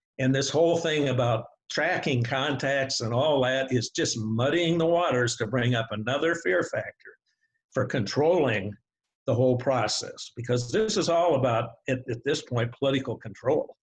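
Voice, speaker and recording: A man speaks in a somewhat breathy voice at a medium pitch. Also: ordinary pitch variation, moderate pace. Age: 80s+. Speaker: expert guest in a debate. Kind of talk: discussion / debate. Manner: animated.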